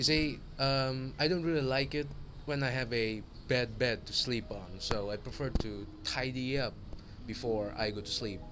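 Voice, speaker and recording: With audible room echo, a man speaks at a moderate pace and medium pitch with ordinary pitch variation. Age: 18. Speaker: university student. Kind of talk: personal video monologue. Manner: formal.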